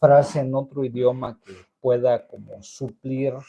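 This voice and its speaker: Speaking very slowly, a man keeps to a medium pitch. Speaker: chronic pain livestreamer. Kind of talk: casual livestream monologue. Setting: live stream. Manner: halting, with many fillers and repetitions.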